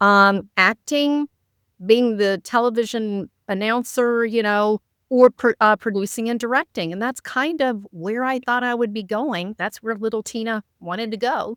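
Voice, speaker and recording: A woman's ordinary speaking voice, fairly high in pitch, at a fairly slow pace with ordinary pitch variation, in a very clean recording with a silent background and a dry, close sound with no echo. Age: 60s. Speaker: author and coach. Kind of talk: casual chat.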